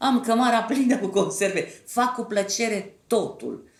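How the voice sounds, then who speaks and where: With audible room echo, a woman speaks at a very slow pace in a somewhat breathy, fairly high voice with ordinary pitch variation. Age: 70s. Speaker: actress and theatre director. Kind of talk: interview.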